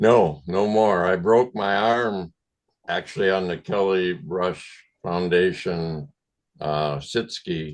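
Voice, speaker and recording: Speaking at a very slow pace with an American accent, a man uses a very deep, low pitch and ordinary pitch variation. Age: 70s. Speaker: retired Paralympic skier. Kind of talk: casual group discussion.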